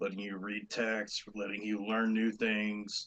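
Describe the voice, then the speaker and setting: Putting on a raspy character voice, a man speaks at a moderate pace and a medium pitch. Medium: actual play. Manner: earnest, polite.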